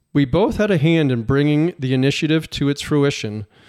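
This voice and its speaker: A man with a normal speaking voice and fairly high pitch, at a moderate pace, dry and close with no echo on a very clean recording with a silent background. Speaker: podcast host and professional fisherman. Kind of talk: casual interview.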